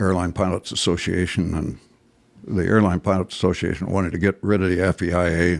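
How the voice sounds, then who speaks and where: Very deep and low, a man's voice moves at a fairly quick pace. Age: 80s+. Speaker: retired airline captain. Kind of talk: interview storytelling. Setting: seated interview. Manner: halting.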